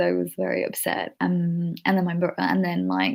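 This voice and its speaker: A woman speaks with a Keralan accent. Her pace is moderate. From born in Kerala, India, raised from childhood in the UK. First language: Malayalam. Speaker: vlogger. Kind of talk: casual personal Q&A vlog. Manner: hesitant, many fillers and restarts.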